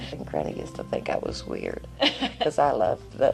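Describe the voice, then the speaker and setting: With music in the background, the speaker talks in an Appalachian accent. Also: woman. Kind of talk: oral history interview answer.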